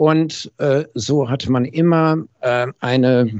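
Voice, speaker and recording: The man speaks with ordinary pitch variation. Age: 60s. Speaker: hearing acoustics company founder, former master optician. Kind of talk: casual interview. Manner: frequent hesitation fillers.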